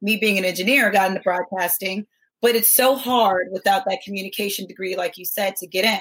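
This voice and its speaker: A woman has a normal speaking voice at medium pitch and fairly even intonation. She talks at a fairly quick pace with big swings in loudness. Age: 30s. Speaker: guest co-host, former basketball player and engineer. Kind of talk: casual interview chat.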